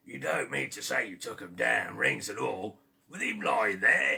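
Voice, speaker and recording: A man performs a put-on character voice that is raspy, at a moderate pace. His loudness swings widely from moment to moment. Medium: read story. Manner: sly, haggling.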